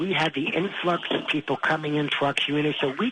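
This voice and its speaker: A man with a New York accent, fairly high pitch, ordinary pitch variation, a fairly quick pace, and noticeable background noise. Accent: New York City. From Queens, New York City. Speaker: radio caller. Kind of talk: call-in conversation. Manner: animated, interrupting.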